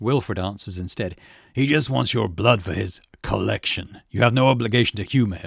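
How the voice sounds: Natural reading voice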